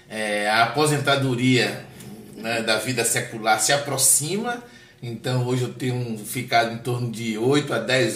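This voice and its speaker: Audible room echo and noticeable background noise. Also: man. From Bahia, Brazil (Salvador). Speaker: pastor. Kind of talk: interview conversation.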